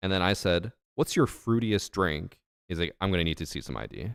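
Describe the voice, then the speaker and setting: The voice has vocal fry and lively intonation at a moderate pace, in a dry, close sound with no echo. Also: man. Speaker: streamer. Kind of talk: casual chat. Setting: live stream.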